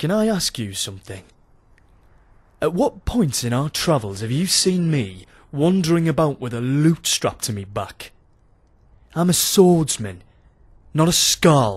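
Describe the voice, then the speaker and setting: Putting on a gruff character voice in a British accent, a man speaks at a fairly high pitch and a moderate pace, with very wide pitch swings. Long, frequent pauses break up his speech on a very clean recording with a silent background. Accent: British Isles, dropped "my" to "me". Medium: machinima. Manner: gruff, reluctant, wry.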